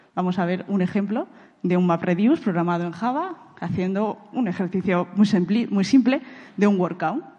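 In a Castilian accent, a woman speaks with a dark, mellow tone. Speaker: big data architect. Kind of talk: conference talk. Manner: halting, frequent repetitions and fillers.

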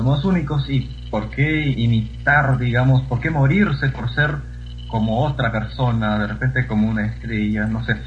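There is audible room echo around a man's voice. Noticeable background noise runs underneath. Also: fairly slow pace. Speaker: poetry reciter. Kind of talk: casual chat; reading aloud.

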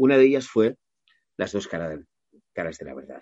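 A man's dark, mellow voice with vocal fry and lively intonation, at a moderate pace against a quiet background. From Catalonia, Maresme (Mataró). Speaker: voice actor. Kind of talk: interview.

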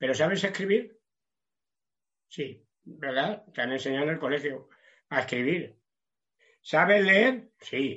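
Very slowly and with long, frequent pauses, a man talks at a fairly high pitch for a man with lively intonation. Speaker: preacher. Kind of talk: sermon. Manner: halting, many repetitions.

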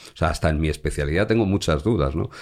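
Vocal fry colors this man's voice. His intonation is lively. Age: 50s. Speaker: crime journalist. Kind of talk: interview conversation. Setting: home studio. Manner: repeats words, hesitant restarts.

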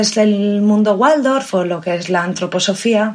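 In a plain, everyday voice, a woman speaks at a fairly high pitch with fairly even intonation. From Spain (Valladolid). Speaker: biologist and Waldorf teacher. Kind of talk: casual interview.

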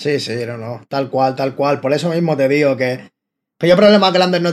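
Fairly high-pitched for a man, he talks at a fairly quick pace with ordinary pitch variation in a plain, everyday voice. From Spain, Barcelona. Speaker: rapper and freestyler. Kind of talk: casual chat.

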